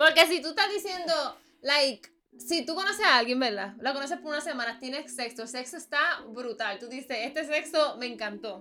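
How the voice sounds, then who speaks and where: In a Puerto Rican accent, a woman uses a raised, projected voice at a high pitch. She keeps a moderate pace with lively intonation and big swings in loudness. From Puerto Rico, Bayamón. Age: 20s. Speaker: podcast guest. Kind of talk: casual chat.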